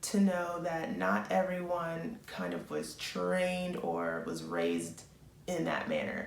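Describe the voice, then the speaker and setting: A woman's voice over noticeable background noise. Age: 20s. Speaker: nursing student. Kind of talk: advice vlog.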